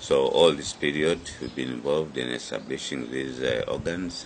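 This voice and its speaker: Fairly even intonation from a man at a fairly slow pace, noticeable background noise behind him. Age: 70s. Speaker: politician, party chairman and presidential candidate. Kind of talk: interview statement. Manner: halting, many fillers.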